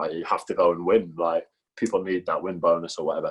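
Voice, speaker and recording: A man talks in a Geordie accent. His pace is very fast. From northern England, Newcastle. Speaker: professional goalkeeper. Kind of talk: casual chat.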